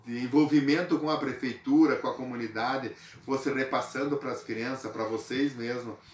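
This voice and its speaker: With a southern Brazilian accent, a man talks at a moderate pace and medium pitch, his intonation fairly even, amid noticeable background noise. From southern Brazil, western Santa Catarina. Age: 60s. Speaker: local cultural figure interviewed. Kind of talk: interview. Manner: hesitant, with filler sounds.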